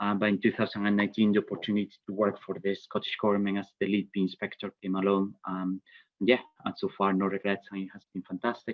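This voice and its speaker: Very fast and monotone, a man with a Spanish accent speaks at a fairly low pitch with flat intonation. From Spain. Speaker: bee inspector and vet. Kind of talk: webinar presentation. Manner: hesitant, many fillers.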